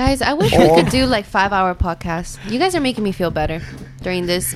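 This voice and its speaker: A woman at a fairly quick pace with lively intonation, over noticeable background noise. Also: medium pitch for a woman. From Argentina. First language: Spanish. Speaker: podcast co-host.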